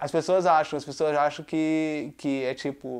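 A man's voice, fairly high in pitch. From Brazil. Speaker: YouTuber. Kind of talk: casual monologue. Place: home room.

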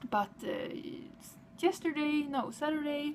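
In a Swedish accent, the speaker uses a cheerful tone at a very slow pace over light background noise. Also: woman. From Sweden. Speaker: vlogger. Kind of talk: casual vlog. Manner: cheerful, halting. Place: home room. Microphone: webcam.

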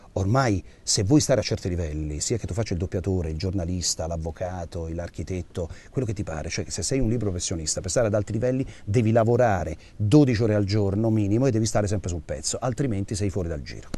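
Very fast and somewhat breathy, a man with a fairly low pitch and a dark, mellow tone uses ordinary pitch variation, in a dry sound with no echo. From Abruzzo, Italy. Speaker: voice actor. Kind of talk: interview answer. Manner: direct, caustic. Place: studio.

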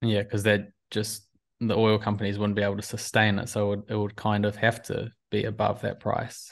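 A man's fairly low voice carries vocal fry and monotone, flat intonation at a moderate pace.

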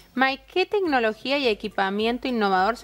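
This woman speaks with an Argentine accent at a fairly quick pace. Her pitch is fairly high. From Argentina. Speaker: TV show host. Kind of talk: interview. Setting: studio. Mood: warm, lively, playful. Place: studio.

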